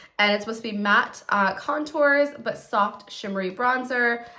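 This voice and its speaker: Noticeable background noise sits behind a woman speaking in an upbeat tone at a moderate pace. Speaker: beauty youtuber. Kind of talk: product unboxing tutorial. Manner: chatty, upbeat.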